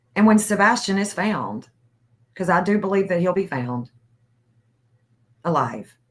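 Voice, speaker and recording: A woman speaks with vocal fry and lively intonation, leaving long, frequent pauses. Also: medium pitch for a woman, fairly slow pace. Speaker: livestream host. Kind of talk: casual livestream chat.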